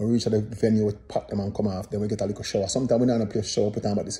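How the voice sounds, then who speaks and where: Somewhat breathy and fairly low, a man's voice stays monotone and flat. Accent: Jamaican. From Jamaica. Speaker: dancehall singer and commentator. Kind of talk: casual commentary monologue. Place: home room. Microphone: phone near.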